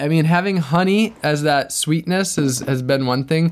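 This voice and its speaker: A man with an American accent speaks fairly slowly in an unremarkable speaking voice, pitched fairly high with ordinary variation. The recording is very clean, with a silent background. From US Midwest, Wisconsin. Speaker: sustainability activist and adventurer. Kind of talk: interview conversation.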